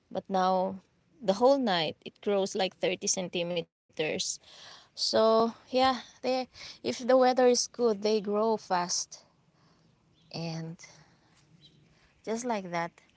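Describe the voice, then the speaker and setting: Speech comes at a very slow pace with an Filipino accent, broken by long, frequent pauses and ordinary pitch variation. The sound is dry and close with no echo, on a very clean recording with a silent background. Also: woman, medium pitch for a woman. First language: Filipino (Ilocano). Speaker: gardening vlogger. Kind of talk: live stream garden tour. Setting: outdoors in garden. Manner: casual, hesitant with fillers.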